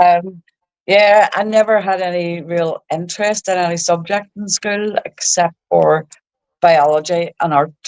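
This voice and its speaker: A woman with a Belfast accent, fairly low in pitch, fairly even in intonation, at a fairly slow pace. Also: dry, close sound with no echo. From Northern Ireland, East Belfast. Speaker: social media creator. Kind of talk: casual interview.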